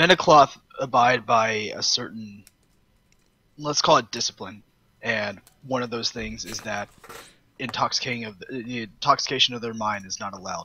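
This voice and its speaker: A man does a put-on character voice, raspy and at a medium pitch with ordinary pitch variation. He moves at a moderate pace, with long, frequent pauses. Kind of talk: mock-medieval speech. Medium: actual play. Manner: hearty, lofty.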